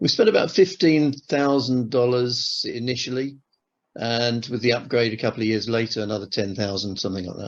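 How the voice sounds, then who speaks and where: Fairly quick man with a southern English accent, medium pitch and ordinary pitch variation. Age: 60s. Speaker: retired airline manager, timeshare customer. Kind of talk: interview testimony. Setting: on camera interview. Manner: hesitant, many fillers and restarts.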